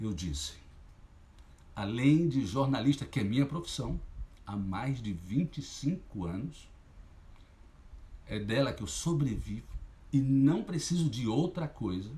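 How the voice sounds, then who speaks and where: A man with a medium pitch speaks at a fairly slow pace, leaving long, frequent pauses. His dark, mellow tone carries vocal fry and very wide pitch swings. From Sergipe, Brazil. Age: 50s. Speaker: journalist and local political candidate. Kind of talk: campaign launch livestream speech. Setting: livestream. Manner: impassioned.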